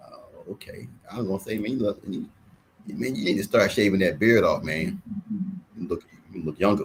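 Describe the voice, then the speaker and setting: Though his pace is fairly quick, a man leaves long, frequent pauses. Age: 50s. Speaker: sports talk show host, football coach. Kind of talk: casual chat. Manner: animated.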